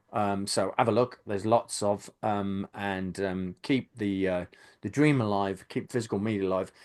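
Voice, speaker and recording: The background stays quiet as a man talks with fairly even intonation. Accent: Birmingham. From Birmingham, England. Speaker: YouTube channel host, film fan. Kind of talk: casual podcast chat. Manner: hesitant, many fillers.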